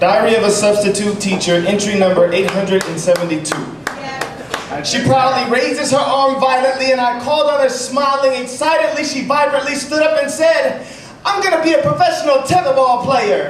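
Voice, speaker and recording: Amid noticeable background noise, a man with an extremely high pitch talks at a moderate pace with lively intonation. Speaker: slam poet. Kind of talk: slam poetry performance.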